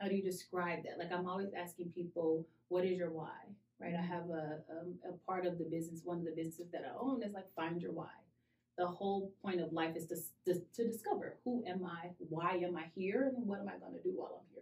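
The voice is somewhat breathy. Delivery is very fast. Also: woman, fairly low pitch for a woman. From Cincinnati, Ohio. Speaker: diversity and talent strategy director. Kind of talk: casual interview. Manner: animated.

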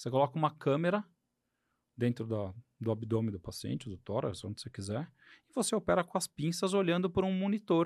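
A man speaks at a fairly quick pace with long, frequent pauses and very wide pitch swings, his pitch fairly high. The sound is dry and close with no echo, on a very clean recording with a silent background. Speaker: podcast host, surgeon. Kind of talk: casual interview chat. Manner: halting, many fillers.

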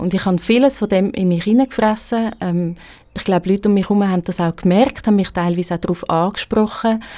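Dark, mellow tone from a woman at medium pitch, with ordinary pitch variation. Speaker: journalist, blogger and theology student. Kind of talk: casual interview conversation. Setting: studio.

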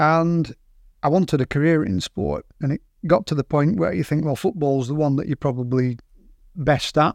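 A man in a Lancashire accent, fairly high-pitched and moderately paced, with a dry, close sound, no echo and a quiet background. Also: ordinary pitch variation. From northern England, Burnley, Lancashire. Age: 50s. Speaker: sports psychology and management professional. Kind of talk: interview.

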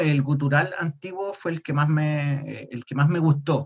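A man at a fairly high pitch, somewhat breathy, at a fairly slow pace. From Chile. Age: 30s. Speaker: death metal vocalist. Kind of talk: casual interview.

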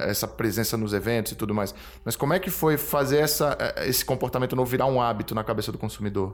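This man has a normal speaking voice. His pitch sits in the middle range and varies in an ordinary way. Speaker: podcast host. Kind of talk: interview.

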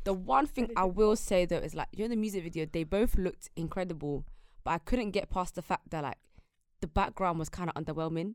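A woman with an unremarkable speaking voice and a medium pitch talks at a fairly quick pace with ordinary pitch variation. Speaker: podcast host. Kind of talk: casual chat.

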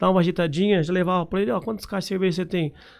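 A man talking at a very fast pace on a very clean recording with a silent background. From Paraná, Brazil (Londrina area). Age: 30s. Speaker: entrepreneur and franchise founder. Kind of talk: interview. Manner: casual, filler-heavy speech.

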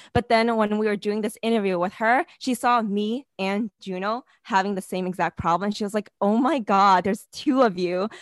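An unremarkable speaking voice with an American accent, ordinary pitch variation, a moderate pace and hardly any pauses, in a dry, close sound with no echo over a quiet background. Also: woman, medium pitch for a woman. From New York City. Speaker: podcast co-host, product manager. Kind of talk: casual interview.

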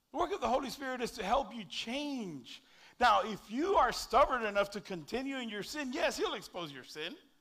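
A raised, projected voice with a bright, sharp tone and very wide pitch swings. Loudness jumps around a lot at a fairly quick pace. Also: man, extremely high pitch for a man. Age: 40s. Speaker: pastor. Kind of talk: sermon.

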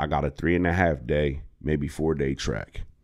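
A man with an American accent and vocal fry talks at a moderate pace over a quiet background. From Harrisburg, Pennsylvania. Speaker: comedian. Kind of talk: casual chat.

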